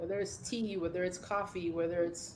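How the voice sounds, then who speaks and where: Audible echo from the room surrounds a woman who talks fairly quickly. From Jamaica. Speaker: fitness trainer. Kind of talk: casual chat.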